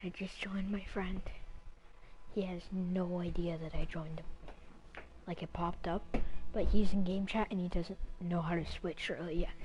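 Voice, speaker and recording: Whispering at a moderate pace, a woman sounds somewhat breathy and leaves long, frequent pauses. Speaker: gaming streamer. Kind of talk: casual live stream commentary.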